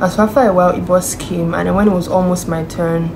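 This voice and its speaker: Noticeable background noise accompanies talking at a fairly quick pace. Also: woman. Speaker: vlogger. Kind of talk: vlog chat. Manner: animated.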